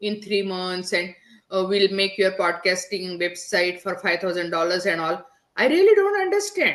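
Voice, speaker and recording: A woman with a strong Indian accent talks at a moderate pace and a medium pitch. Her intonation is monotone and flat. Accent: heavy Indian. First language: not English (English is third language). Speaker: digital business strategist, podcaster. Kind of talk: podcast interview.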